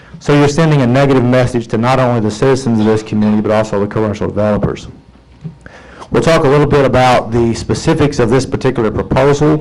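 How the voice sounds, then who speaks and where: Audible room echo surrounds a man of medium pitch who talks at a very fast pace, with ordinary pitch variation and very even loudness. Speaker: attorney speaking at city council. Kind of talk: public comment at council meeting. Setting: city council chamber.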